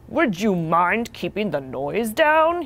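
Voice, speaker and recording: Putting on a growling character voice, a woman at medium pitch speaks at a fairly slow pace with very wide pitch swings. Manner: growling, ever so polite.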